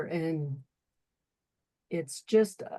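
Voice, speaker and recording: Speaking at a very slow pace, a woman uses lively intonation. The sound is dry and close, with no echo. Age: 60s. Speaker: testimonial guest. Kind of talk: testimony.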